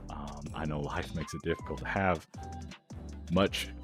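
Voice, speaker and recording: Music sits in the background as the words come at a very slow pace. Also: man. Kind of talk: casual vlog talk to camera. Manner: stumbling, stuttering, repetitive; warm, reassuring.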